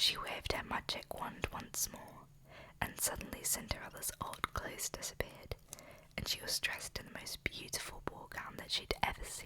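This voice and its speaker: Someone whispers at a moderate pace over noticeable background noise. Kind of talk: bedtime story reading. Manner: whispered.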